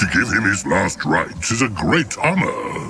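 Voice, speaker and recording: A gruff man puts on a character voice. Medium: video game. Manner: blunt, gruff, talks of self in third person.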